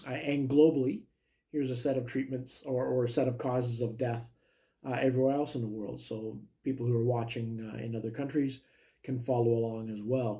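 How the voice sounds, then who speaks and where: A man with a Canadian accent speaks fairly quickly at medium pitch, his dark, mellow tone somewhat breathy and his intonation monotone and flat. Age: 60s. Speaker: health vlogger. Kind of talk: personal video monologue. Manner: hesitant, many fillers.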